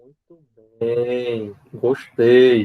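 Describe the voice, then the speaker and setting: Speaking very slowly, a man uses a medium pitch. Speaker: physics professor. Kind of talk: lecture.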